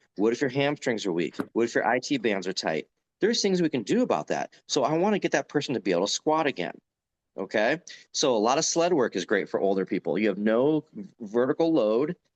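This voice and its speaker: Speaking at a fairly quick pace, a man uses a medium pitch with vocal fry. His pitch swings very widely. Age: 40s. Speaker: strength coach and gym owner. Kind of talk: podcast interview. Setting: video call.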